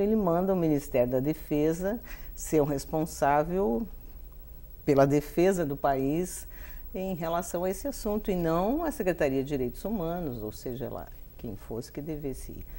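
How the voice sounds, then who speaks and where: At a moderate pace, a woman speaks at a fairly low pitch in a dark, mellow tone, with very wide pitch swings and big swings in loudness. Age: 60s. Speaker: human rights activist, relative of a political disappeared person. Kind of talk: interview.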